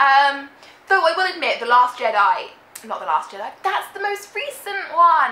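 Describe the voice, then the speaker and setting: The voice is raised and projected, with a British accent and very wide pitch swings. Noticeable background noise sits behind it. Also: woman. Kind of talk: casual talk to camera.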